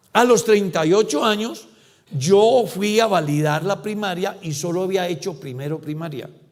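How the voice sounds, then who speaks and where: Someone speaks at a moderate pace with audible room echo. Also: man, high pitch for a man, ordinary pitch variation. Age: 60s. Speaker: pastor. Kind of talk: sermon.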